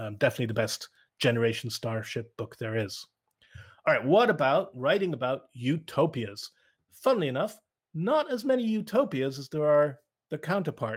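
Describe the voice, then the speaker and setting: In a very clean recording with a silent background, a man with a Cork accent speaks in a somewhat breathy voice, fairly high in pitch, with very wide pitch swings. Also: moderate pace. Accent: Irish, Cork. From Ireland, Cork south coast. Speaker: speaker. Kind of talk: lecture.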